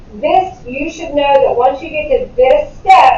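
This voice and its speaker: A woman talks at a moderate pace with ordinary pitch variation. Noticeable background noise and audible room echo surround her voice. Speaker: math teacher. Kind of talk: classroom lecture. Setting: classroom.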